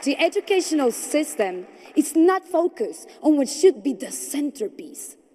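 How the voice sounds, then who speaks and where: Amid noticeable background noise, a woman with a Spanish accent speaks at a moderate pace with very wide pitch swings. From Colombia. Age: 20s. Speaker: entrepreneur and speaker. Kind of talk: conference speech. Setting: stage with audience. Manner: formal.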